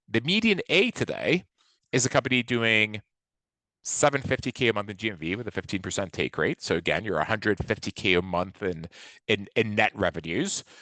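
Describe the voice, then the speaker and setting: Captured with a dry, close sound and no echo, a man's fairly low voice has a bright, sharp tone and lively intonation. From southeastern France (Nice). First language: French. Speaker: venture investor. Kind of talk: webinar presentation. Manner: fast.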